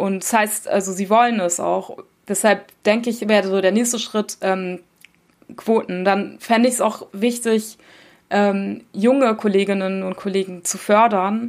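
A woman with a medium pitch speaks fairly slowly in a monotone, flat intonation. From Germany. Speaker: journalist. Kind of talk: interview. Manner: hesitant, many fillers.

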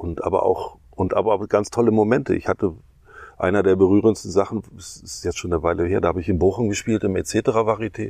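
A man's normal speaking voice, fairly low in pitch, with ordinary pitch variation and a fairly quick pace. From East Germany and Ghana. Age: 60s. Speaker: stage artist and clown. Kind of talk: casual chat. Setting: outdoors on a meadow.

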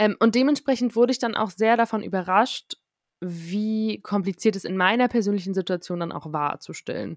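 On a very clean recording with a silent background and a dry, close sound with no echo, a woman speaks in a normal speaking voice at medium pitch, with ordinary pitch variation at a moderate pace. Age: 20s. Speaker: podcast host, radio journalist. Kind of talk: casual interview.

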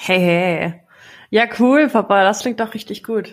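On a very clean recording with a silent background, a woman talks at a fairly slow speed. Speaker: podcast co-host, daughter. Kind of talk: casual chat.

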